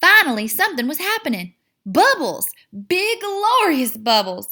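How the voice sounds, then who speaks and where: The speaker uses a raised, projected voice with a bright, sharp tone and an American accent. Pitch swings very widely, and the recording is very clean with a silent background. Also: woman. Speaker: teacher. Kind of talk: children's picture book read-aloud.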